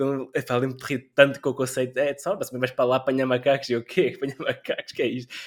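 Delivering his words at a very fast pace with hardly any pauses, a man speaks in a monotone with flat intonation. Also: medium pitch for a man. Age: 20s. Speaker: game designer and PhD student. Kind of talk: casual chat.

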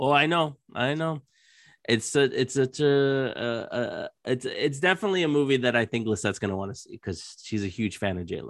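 Talking at a fairly quick pace, a man uses a medium pitch and lively intonation in an unremarkable speaking voice. The background is quiet. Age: 30s. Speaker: podcast host. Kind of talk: casual chat.

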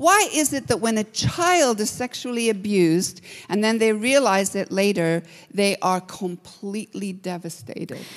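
Her intonation is lively and her pitch medium. The woman speaks at a fairly slow pace. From Kenya, Nairobi. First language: English or Swahili, not Slovak (speaking Slovak). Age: 60s. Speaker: guest preacher. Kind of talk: sermon.

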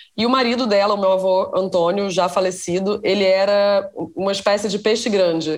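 Here a woman with an unremarkable speaking voice holds a medium pitch and fairly even intonation. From Rio de Janeiro, Brazil. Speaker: writer and screenwriter. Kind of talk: interview conversation.

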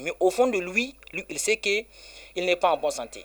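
A man speaks with a high-pitched voice. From Niger (Balayara). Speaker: Islamic healer and NGO director. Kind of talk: radio interview. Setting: on location.

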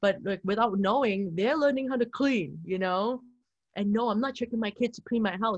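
With a fairly high pitch and a somewhat breathy voice, a woman speaks in an animated tone. Her pitch variation is ordinary, and the background is quiet. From Canada, Vancouver. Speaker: model and entrepreneur. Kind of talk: casual chat.

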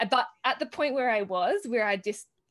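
A woman is speaking. She has an Australian accent. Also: quiet background. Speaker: herbalist and conference organiser. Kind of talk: interview. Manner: hesitant, many fillers.

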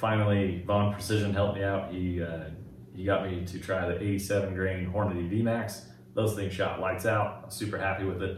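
Over noticeable background noise, a man talks at a moderate pace in a fairly low, monotone, flat voice. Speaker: YouTube gun reviewer. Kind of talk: casual podcast chat.

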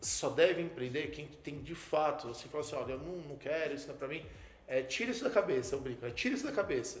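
A man at a fairly high pitch and very fast pace, with lively intonation and big swings in loudness, amid noticeable background noise and audible room echo. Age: 30s. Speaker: computer engineer and entrepreneur. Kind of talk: interview. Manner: hesitant, many fillers.

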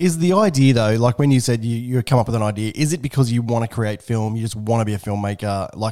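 With an Australian accent, this man speaks at a fairly quick pace in a fairly low pitch, his tone dark and mellow. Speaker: podcast host.

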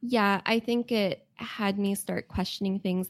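In a very clean recording with a silent background, a woman with a medium pitch uses a normal speaking voice and fairly even intonation. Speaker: game writer. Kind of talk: casual interview chat.

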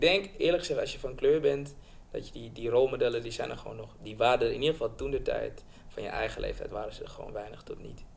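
At a very fast pace, a man speaks with big swings in loudness. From Suriname, raised in Amsterdam Bijlmer from age six. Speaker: film director. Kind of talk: casual interview. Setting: studio, around a table.

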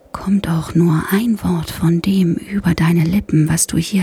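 A soothing tone at a very slow pace, with noticeable background noise. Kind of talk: bedtime story narration, ASMR. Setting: ASMR podcast for headphones. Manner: slow, soft, soothing, hushed and calming.

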